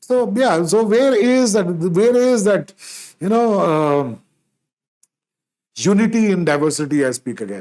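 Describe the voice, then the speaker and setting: Speaking in a Punjabi accent at a fairly slow pace, a man uses a high pitch with very wide pitch swings and long, frequent pauses. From India, Punjabi background. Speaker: podcast host. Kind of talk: solo podcast monologue. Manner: halting, many fillers and restarts.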